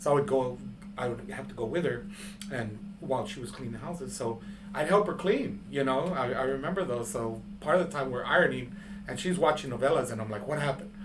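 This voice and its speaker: A man's fairly high voice with very wide pitch swings at a fairly quick pace, amid audible room echo and noticeable background noise. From San Antonio, Texas (west side). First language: Spanish. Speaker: artist. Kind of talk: interview. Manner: halting, many fillers.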